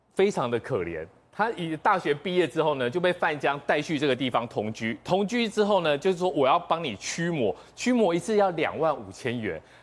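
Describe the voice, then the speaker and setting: A man's fairly high-pitched voice with vocal fry, very wide pitch swings and a fairly quick pace. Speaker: TV political talk show commentator. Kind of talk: storytelling on a TV talk show. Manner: animated, dramatic.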